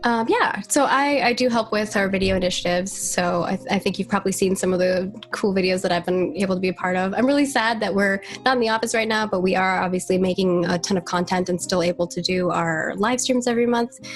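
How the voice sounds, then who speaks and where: A woman talks at a very fast pace with hardly any pauses, a medium pitch, and ordinary pitch variation. Her loudness stays very even despite noticeable background noise. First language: not English. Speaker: community marketing lead at a game studio. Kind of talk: casual podcast interview. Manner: chatty, fast, many fillers and restarts.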